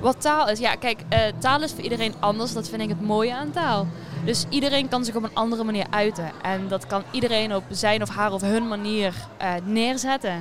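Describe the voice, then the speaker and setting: A woman's fairly high voice with ordinary pitch variation at a moderate pace, amid noticeable background noise. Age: young. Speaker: student and poetry competition entrant. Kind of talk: casual interview. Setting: theatre foyer.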